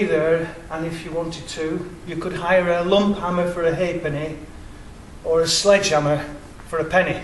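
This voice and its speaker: A man's high-pitched voice with an English accent at a moderate pace, with audible room echo and noticeable background noise. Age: 60s. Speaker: independent researcher. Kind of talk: public presentation.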